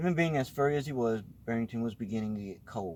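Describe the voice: The words are read out in plain reading aloud. Nothing more is added to the delivery.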